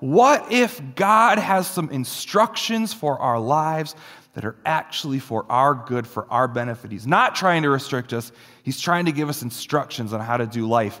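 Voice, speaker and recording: A man speaks at a moderate pace with a bright, sharp tone. His fairly high pitch swings very widely. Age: 30s. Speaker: pastor. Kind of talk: sermon.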